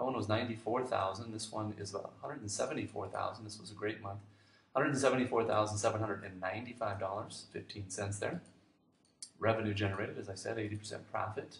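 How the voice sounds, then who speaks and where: The speech races at a very fast pace, with audible room echo and noticeable background noise. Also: man, fairly low pitch for a man, fairly even intonation. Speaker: online business marketer. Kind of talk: sales pitch.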